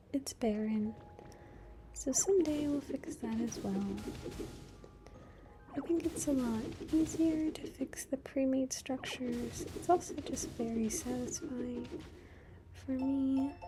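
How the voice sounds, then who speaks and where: A soft-spoken woman with a calm tone and ordinary pitch variation, very slow with long, frequent pauses, music in the background. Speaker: gamer. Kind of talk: soft-spoken gaming commentary for sleep. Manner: soft-spoken, calm.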